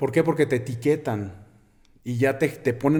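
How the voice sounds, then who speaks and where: This man has a dark, mellow tone at a fairly high pitch. He talks at a moderate pace with fairly even intonation. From Mexico, Aguascalientes (Jesús María). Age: 30s. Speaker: bodybuilder and nutrition student. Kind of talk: interview conversation.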